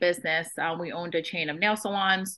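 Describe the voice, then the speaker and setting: A woman talks in a Boston accent. Her pitch sits at a medium level. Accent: American English, Boston area. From Vietnam, moved to Boston area at nine. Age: 30s. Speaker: real estate investor and agent. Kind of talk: podcast interview.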